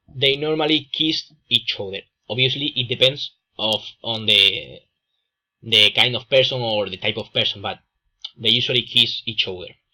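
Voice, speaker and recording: A man speaks with a strong Andalusian accent at a medium pitch, with ordinary pitch variation. His tone is bright and sharp, broken by long, frequent pauses. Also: moderate pace. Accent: strong Andalusian Spanish accent, drops S. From Spain, Andalusia. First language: Spanish. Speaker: student presenter. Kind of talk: class presentation. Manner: halting, many fillers.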